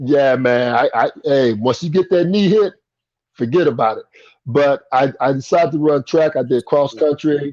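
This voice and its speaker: A man's normal speaking voice with an American accent, fairly high in pitch with ordinary pitch variation, at a moderate pace, the sound dry and close with no echo. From Indiana, US Midwest (Anderson). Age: 60s. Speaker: former pro basketball player. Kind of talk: interview.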